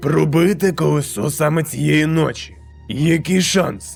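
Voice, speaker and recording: Over clear background music, someone performs a put-on character voice at a moderate pace. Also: man. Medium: dub.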